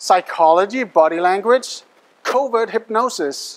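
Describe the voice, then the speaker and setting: An animated man with a non-native accent and ordinary pitch variation. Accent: foreign accent in English. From Denmark. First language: Danish. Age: young. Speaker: hypnotist and mentalist performer. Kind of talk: live stage show patter. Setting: stage with audience.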